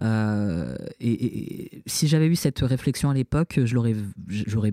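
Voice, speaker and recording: A man with a dark, mellow tone at a fairly slow pace, in a dry, close sound with no echo on a very clean recording with a silent background. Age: 30s. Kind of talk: interview testimony. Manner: halting, many repetitions and hesitations.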